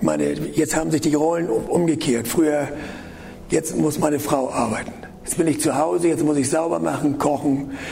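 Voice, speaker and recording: A man's fairly high-pitched voice with fairly even intonation, noticeable background noise and audible room echo. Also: moderate pace. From northern Germany. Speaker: preacher. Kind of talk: sermon. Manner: halting, repeats words.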